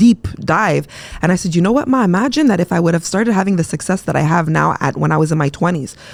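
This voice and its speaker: A woman with a fairly low voice talks at a very fast pace. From Quebec, Montreal. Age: 40s. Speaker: entrepreneur and mental health advocate. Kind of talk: casual interview. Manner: animated.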